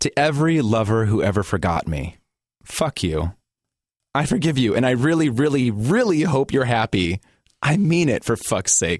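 In an American accent, the speaker moves at a moderate pace with vocal fry, very even loudness and very wide pitch swings. The recording is very clean with a silent background, and the sound is dry and close with no echo. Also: man, medium pitch for a man. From US Midwest, Gary, Indiana. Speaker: writer and performer. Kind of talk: reading own writing aloud; casual interview.

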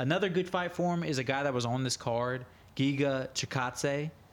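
This man has a plain, everyday voice with an American accent, a fairly high pitch and ordinary pitch variation. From United States. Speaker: MMA podcast co-host. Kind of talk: casual chat.

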